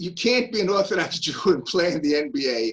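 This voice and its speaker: In a Brooklyn accent, a man talks with a high pitch and lively intonation. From US Northeast, Brooklyn, New York. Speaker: Nazi hunter. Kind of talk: lecture. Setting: video call.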